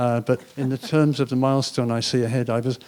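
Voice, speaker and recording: With an English accent, a man talks in a dark, mellow tone. His pitch is medium and his intonation fairly even. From England. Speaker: panelist, former city planner. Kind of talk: panel discussion.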